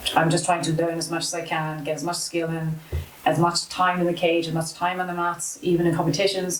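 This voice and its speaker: Amid noticeable background noise, a woman speaks fairly quickly at a fairly low pitch in a monotone, flat delivery. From South Africa, Cape Town, moved to Ireland at 14. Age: 30s. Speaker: amateur MMA fighter. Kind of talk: casual interview chat.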